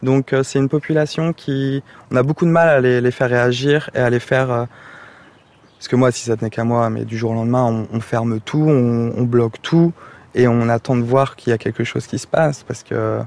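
At a moderate pace and medium pitch, a man talks in a normal speaking voice with fairly even intonation. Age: 30s. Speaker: nursing assistant. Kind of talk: on-the-job interview. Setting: nursing home.

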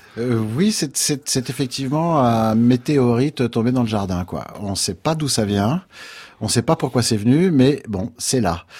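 On a very clean recording with a silent background, a man with an unremarkable speaking voice talks at a fairly slow pace in a medium pitch with lively intonation. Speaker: jazz pianist. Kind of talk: interview.

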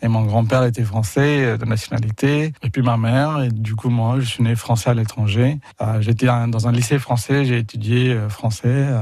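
His pace is fairly slow and his intonation fairly even. The speaker is a man with a medium pitch. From India, Pondicherry. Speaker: film distributor. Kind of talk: radio interview. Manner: halting, repeats words.

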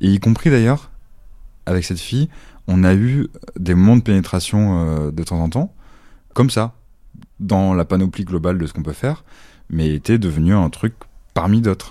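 This man has a very deep, low pitch and a dark, mellow tone, with lively intonation at a moderate pace. He leaves long, frequent pauses, and the recording is very clean with a silent background. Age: 30s. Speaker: social worker. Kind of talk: testimony. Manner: hesitant, many fillers.

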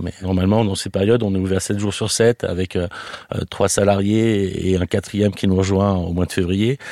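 A man's fairly low, dark, mellow voice at a moderate pace, with fairly even intonation and a dry, close sound free of echo. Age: 40s. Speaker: restaurant owner. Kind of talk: interview testimony. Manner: hesitant, many fillers.

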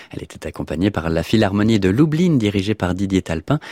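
A man's very deep, low voice comes across with a dry, close sound and no echo. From Normandy, France. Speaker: radio host. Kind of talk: radio presenting. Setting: studio.

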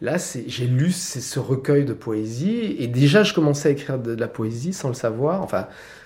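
A man talks at a medium pitch. There is music in the background. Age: 60s. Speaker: playwright and theatre director. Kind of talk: casual interview at home. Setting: at his home. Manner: halting, repeating words.

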